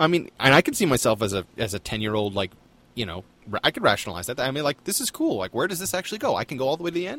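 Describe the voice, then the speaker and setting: A man with an American accent talks at a very fast pace, his medium pitch swinging very widely and dipping into vocal fry. The sound is dry and close with no echo, on a very clean recording with a silent background. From New Jersey suburbs. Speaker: podcast co-host. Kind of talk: casual chat.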